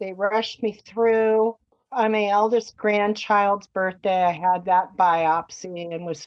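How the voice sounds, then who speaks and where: Delivered at a very slow pace, the speech has ordinary pitch variation. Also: woman. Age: 60s. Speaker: cancer survivor. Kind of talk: casual interview, personal story.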